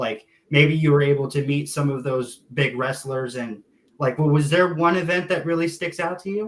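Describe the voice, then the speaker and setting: This man's voice sits fairly high in pitch. He talks at a moderate pace with ordinary pitch variation. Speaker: podcast host. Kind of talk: interview. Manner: hesitant, many fillers.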